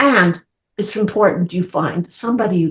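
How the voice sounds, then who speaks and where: A woman speaks at a fairly slow pace with ordinary pitch variation. Her voice is somewhat breathy. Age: 70s. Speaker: counseling therapist and speaker. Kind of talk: podcast interview.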